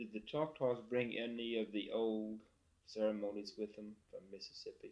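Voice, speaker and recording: A normal speaking voice from a man, fairly slow in pace, medium in pitch, with ordinary pitch variation. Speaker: oral history interviewer. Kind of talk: interview questions.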